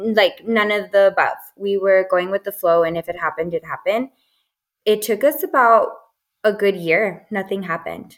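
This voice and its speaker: Talking at a moderate pace, a woman uses an ordinary speaking voice of medium pitch, with ordinary pitch variation. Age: 20s. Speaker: doula. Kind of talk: casual chat.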